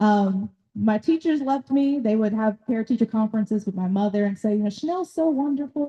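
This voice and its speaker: Speaking in a Southern US accent with hardly any pauses, a woman has a fairly high, dark, mellow voice with lively intonation and a dry, close sound with no echo. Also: fairly quick pace. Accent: US South (Tennessee). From Nashville, Tennessee. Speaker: doctor and workshop speaker on ADHD. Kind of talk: talk at a community workshop. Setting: workshop room with live audience. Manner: loud.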